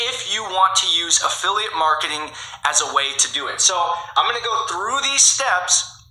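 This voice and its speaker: With audible room echo and noticeable background noise, a man speaks fairly quickly in a high pitch, with an energetic tone and lively intonation. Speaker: online marketing YouTuber. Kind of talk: tutorial. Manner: energetic, coaching tone.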